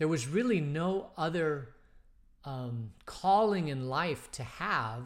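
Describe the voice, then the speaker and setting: This man speaks with ordinary pitch variation. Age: 50s. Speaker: pastor leading bible study. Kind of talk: casual bible study talk. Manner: hesitant, many fillers.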